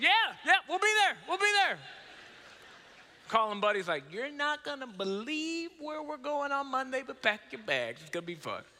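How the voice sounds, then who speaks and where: A man speaks in a raised, projected voice at a moderate pace, with an animated tone, very wide pitch swings and big swings in loudness. Noticeable background noise is present. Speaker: preacher. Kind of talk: sermon.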